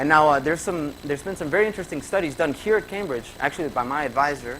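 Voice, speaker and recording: A man speaks with a Spanish accent and lively intonation. There is noticeable background noise. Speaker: graduate student presenter. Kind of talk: conference presentation. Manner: conversational with fillers.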